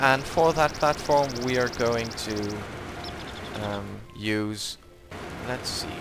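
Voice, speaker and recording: At a very slow pace, a man with a medium pitch and ordinary pitch variation speaks over music in the background. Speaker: gaming video creator. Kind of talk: gameplay tutorial. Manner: hesitant, many fillers.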